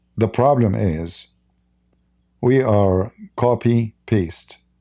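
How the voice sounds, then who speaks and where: This man has a medium-pitched, dark, mellow voice with an Arabic accent and ordinary pitch variation, recorded very cleanly against a silent background. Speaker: religious commentator, live streamer. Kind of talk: live stream commentary. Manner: animated.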